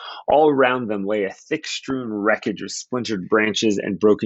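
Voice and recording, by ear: With ordinary pitch variation, a natural voice reads the text aloud.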